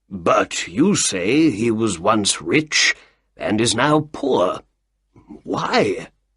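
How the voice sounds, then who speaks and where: Putting on a character voice, a man talks at a very slow pace with a medium pitch. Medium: read story.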